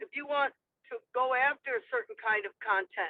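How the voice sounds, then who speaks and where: A woman with a Midwestern accent, a high pitch, lively intonation, and a fairly slow pace. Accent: Midwest American. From Michigan, US Midwest. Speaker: poet. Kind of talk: panel discussion.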